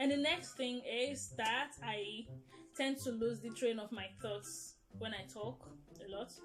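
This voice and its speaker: Over music in the background, a woman speaks at a medium pitch with big swings in loudness. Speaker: vlogger. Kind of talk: casual chat. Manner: rambling, loses train of thought.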